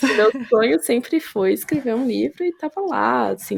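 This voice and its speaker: A woman talks at a moderate pace in a very clean recording with a silent background. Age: 30s. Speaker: podcast guest, mother and author. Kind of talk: casual interview conversation, testimony. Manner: animated, hesitant with self-corrections.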